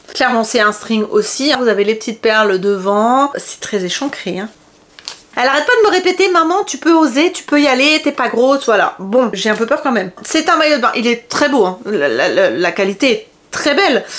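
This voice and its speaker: The speaker sounds animated, with very wide pitch swings at a moderate pace. Noticeable background noise runs underneath. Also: woman. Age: 40s. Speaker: fashion haul vlogger. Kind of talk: product review chat.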